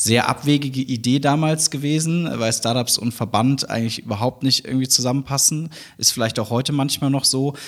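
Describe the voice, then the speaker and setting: In a plain, everyday voice, a man speaks fairly quickly at a medium pitch with fairly even intonation. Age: 30s. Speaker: university founder and chancellor. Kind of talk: interview.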